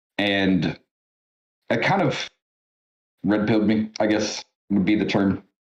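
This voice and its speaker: A man's fairly low voice with fairly even intonation, very even loudness, and long, frequent pauses. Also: fairly slow pace. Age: 30s. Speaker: podcast co-host and gamer. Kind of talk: casual chat. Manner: casual, hesitant with fillers.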